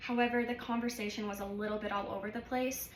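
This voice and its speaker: A woman talks at a fairly quick pace in a monotone, flat way, with audible room echo and noticeable background noise. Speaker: college student and healthcare worker. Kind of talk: self-evaluation vlog. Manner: filler-heavy.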